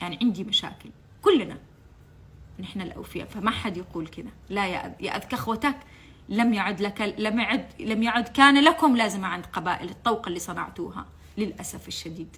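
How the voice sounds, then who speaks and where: Speaking in a Yemeni accent, a woman uses medium pitch, a moderate pace, an animated tone and lively intonation. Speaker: political commentator, former TV channel staff. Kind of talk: impassioned political monologue. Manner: animated, emotional; halting, repeats words.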